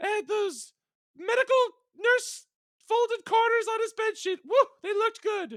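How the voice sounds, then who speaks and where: Putting on a dramatic character voice, a man squeaks at an extremely high pitch and a moderate pace. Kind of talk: parody audiobook reading. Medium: read story. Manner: mock-dramatic, ad-libbing.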